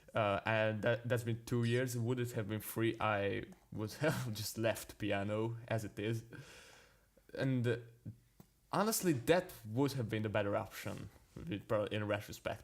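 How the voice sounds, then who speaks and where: A man with a non-native accent talks at a fairly slow pace and medium pitch, with ordinary pitch variation and long, frequent pauses. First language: not English. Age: young. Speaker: jazz pianist. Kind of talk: casual chat. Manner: halting.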